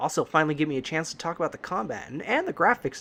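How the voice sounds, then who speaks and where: The speaker talks at a fairly quick pace with vocal fry. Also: man. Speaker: let's play gamer. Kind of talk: game commentary. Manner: enthusiastic.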